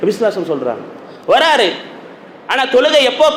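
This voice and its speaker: Lively intonation from a man, noticeable background noise beneath. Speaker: Islamic preacher, mosque sermon speaker. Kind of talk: Friday sermon (khutbah) in Tamil. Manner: engaged, rhetorical questions to audience.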